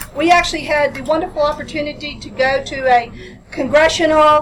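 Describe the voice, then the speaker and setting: Ordinary pitch movement in a female voice, with background noise clearly audible. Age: 60s. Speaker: hemp grower and processor. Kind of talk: panel discussion. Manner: animated.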